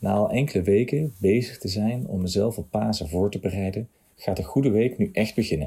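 A somewhat breathy man's voice, fairly low in pitch, with ordinary pitch variation. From Nijmegen, Netherlands. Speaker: churchgoer giving testimony. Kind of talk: testimony, read from text.

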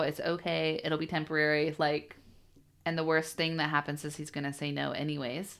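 A woman's very deep, low voice with an American accent at a fairly quick pace, on a very clean recording with a silent background. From US Pacific Northwest (Bellingham, Washington). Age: 30s. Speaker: company CEO, former solar salesperson. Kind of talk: interview, casual chat.

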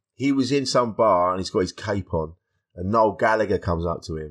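Against a quiet background, a man with an English accent speaks fairly quickly in a fairly low pitch with ordinary pitch variation. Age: 50s. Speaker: stand-up comedian and podcaster. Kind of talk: casual chat.

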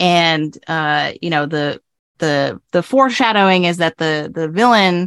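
With a quiet background and a dry, close sound with no echo, a woman speaks in a normal speaking voice at a fairly low pitch and moderate pace. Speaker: writing professor and pop culture blogger. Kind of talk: casual chat.

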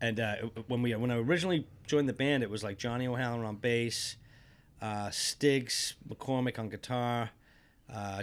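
An ordinary speaking voice from a man with an American accent, medium in pitch, fairly even in intonation and fairly quick in pace, on a very clean recording with a silent background. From England, then Massachusetts from age twelve. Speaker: rockabilly musician. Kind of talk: casual interview storytelling.

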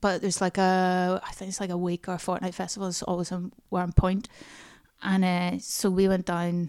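A woman with a Northern Irish accent speaks at a medium pitch in a monotone, flat intonation. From Northern Ireland, small town near Banbridge. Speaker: stand-up comedian and comedy writer. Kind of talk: casual chat. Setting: in person at host's house.

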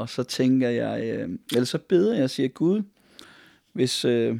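With a dark, mellow tone and lively intonation, a man speaks at medium pitch on a very clean recording with a silent background. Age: 50s. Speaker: pastor. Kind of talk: personal testimony interview. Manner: halting, many fillers.

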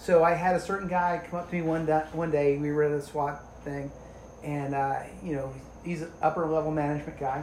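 A man with an American accent talks at a fairly quick pace and fairly high pitch. Noticeable background noise is present. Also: fairly even intonation. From New Jersey. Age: 40s. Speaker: police officer. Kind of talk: casual chat.

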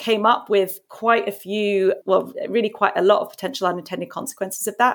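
At a fairly quick pace, a woman with a normal speaking voice talks at a fairly high pitch with ordinary pitch variation. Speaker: nonprofit program head. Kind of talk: casual interview.

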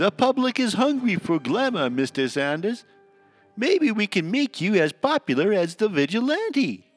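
Faint music plays behind a high-pitched man who speaks at a moderate pace, his pitch swinging very widely while his loudness stays very even. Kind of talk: 1940s radio acting. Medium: audio drama. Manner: eager, salesman-like.

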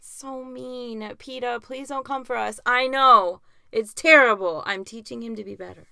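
A woman with an American accent speaks at a high pitch and a fairly slow pace, her tone bright and sharp. Her pitch variation is ordinary, while her loudness swings widely. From US, grew up in Augusta, Georgia from age nine. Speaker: podcast co-host and writer. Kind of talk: casual chat.

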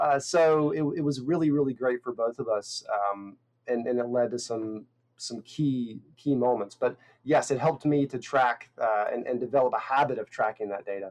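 With an American accent, a man of medium pitch talks at a moderate pace with ordinary pitch variation. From North Carolina. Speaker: insurance copywriter. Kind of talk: interview.

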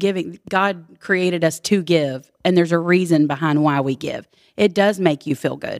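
A woman with a Texan accent, fairly low in pitch, with fairly even intonation at a moderate pace. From Texas, Houston. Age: 40s. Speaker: small business owner. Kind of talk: casual chat. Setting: farmhouse basement.

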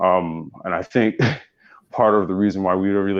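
A low-pitched man at a moderate pace

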